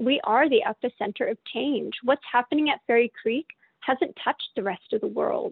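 The speaker has a Canadian accent. The intonation is lively. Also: woman, high pitch for a woman, moderate pace. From Calgary, Canada. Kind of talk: casual interview conversation.

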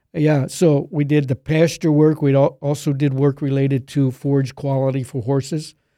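With an American accent, a man speaks at a moderate pace with hardly any pauses, his fairly high voice dark and mellow in tone and his intonation fairly even. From Pennsylvania, near Middletown. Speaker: agronomy professor. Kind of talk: interview.

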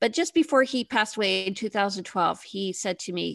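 A woman with a Canadian accent and medium pitch has an ordinary speaking voice. The sound is dry and close with no echo, over a quiet background. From Canada, Toronto. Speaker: realtor and TV host. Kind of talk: interview podcast.

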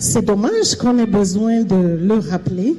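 With lively intonation, a woman speaks at a fairly slow pace and a fairly high pitch. There is noticeable background noise. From Cameroon. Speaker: panelist. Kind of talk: panel testimony. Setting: event hall with live audience.

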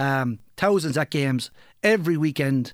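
A man with a Kilkenny Irish accent on a very clean recording with a silent background. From Ireland, Kilkenny. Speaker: local soccer podcast co-host and club figure. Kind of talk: casual chat.

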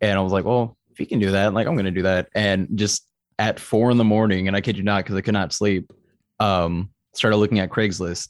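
A man with an American accent has an ordinary speaking voice, fairly low in pitch, at a fairly quick pace with fairly even intonation and very even loudness. The very clean recording has a silent background and a dry, close sound with no echo. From Texas (Austin). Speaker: metal band vocalist. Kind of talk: casual interview chat.

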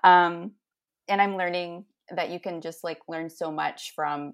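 A woman with a Canadian accent talks at a moderate pace in a plain, everyday voice, her pitch fairly low and her intonation fairly even. The recording is very clean, with a silent background. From Ontario, Canada (St. Catharines). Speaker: church member, reconciliation team volunteer. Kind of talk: casual interview.

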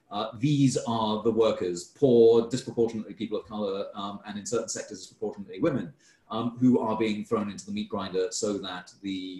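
Somewhat breathy, a man speaks at a fairly quick pace. His fairly low voice has a dark, mellow tone. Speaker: food system scholar. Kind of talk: online talk Q&A. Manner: stammering with fillers.

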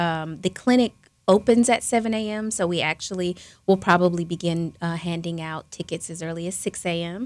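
In a very clean recording with a silent background, a woman with a normal speaking voice talks at a moderate pace in a fairly low pitch with fairly even intonation. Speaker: charity foundation staffer. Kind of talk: casual interview chat.

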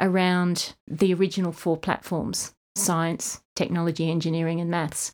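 A woman speaks with an Australian accent at medium pitch and a moderate pace. The recording is very clean, with a silent background. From Australia, East Kimberley (Western Australia). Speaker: program director. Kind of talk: interview.

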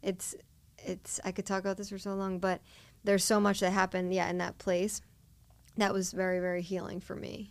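Delivered fairly quickly in an American accent, the speech has monotone, flat intonation. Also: woman, medium pitch for a woman. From Delaware County, Pennsylvania. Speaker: faith speaker and outreach volunteer. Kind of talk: casual interview.

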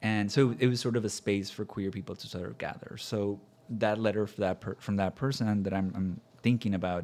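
With an ordinary speaking voice, a man talks at a fairly quick pace, his fairly low pitch held in fairly even intonation. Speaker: university LGBTQ center director. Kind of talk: podcast conversation.

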